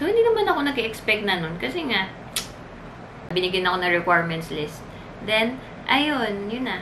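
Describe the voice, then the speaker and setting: A woman talks at a moderate pace and medium pitch with very wide pitch swings and long, frequent pauses over noticeable background noise. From Philippines. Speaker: flight attendant vlogger. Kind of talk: casual vlog talk. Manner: animated. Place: home room. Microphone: camera far.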